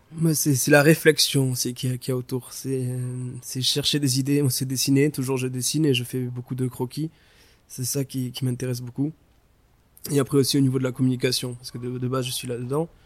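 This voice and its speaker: A man speaks at a fairly quick pace with a medium pitch and a monotone, flat intonation. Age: 20s. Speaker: shoe designer. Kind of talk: interview.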